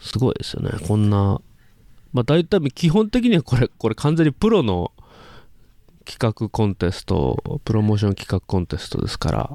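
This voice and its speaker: A man's medium-pitched voice, dark and mellow, with very wide pitch swings and a moderate pace, in a very clean recording with a silent background and a dry, close sound free of echo. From Hiroshima, Japan. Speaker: podcast host and dialect dubbing voice performer. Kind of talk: casual chat.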